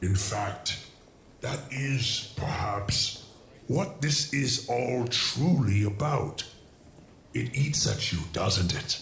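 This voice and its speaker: A man speaks at a very slow pace in a medium pitch. Clear background noise runs behind him. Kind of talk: villainous courtroom drama. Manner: contemptuous, taunting, grandiose.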